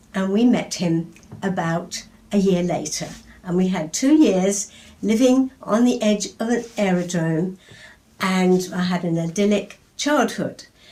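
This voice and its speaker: Dark and mellow in tone, a woman talks at a medium pitch, somewhat breathy. She moves at a fairly slow pace with ordinary pitch variation. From England. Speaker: poet. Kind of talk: interview answer. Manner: lively.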